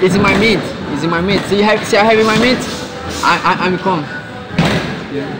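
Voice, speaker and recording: With loud background noise all around, a man is talking. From Brazil, Brasilia. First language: Portuguese. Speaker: professional boxer. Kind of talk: interview. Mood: relaxed, smiling. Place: gym.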